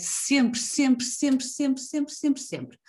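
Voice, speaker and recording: A woman speaks in a somewhat breathy voice. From northern Portugal, Avintes (Porto area). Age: 30s. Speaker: podcast host, copywriter. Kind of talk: casual interview chat.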